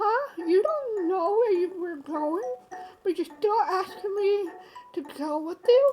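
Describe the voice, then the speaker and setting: Using a put-on character voice at an extremely high pitch, a woman speaks at a fairly slow pace while faint music plays in the background. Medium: game stream. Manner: sensible, mildly exasperated.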